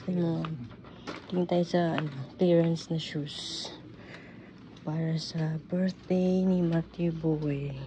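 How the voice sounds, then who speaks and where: Over noticeable background noise, a woman with a fairly low pitch speaks very slowly in a flat monotone, with long, frequent pauses. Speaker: vlogger. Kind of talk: casual vlog chat. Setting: store.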